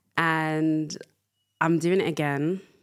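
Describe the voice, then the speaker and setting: A woman with a London accent and a very deep, low pitch. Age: 20s. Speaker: podcast host. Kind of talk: casual monologue. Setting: studio.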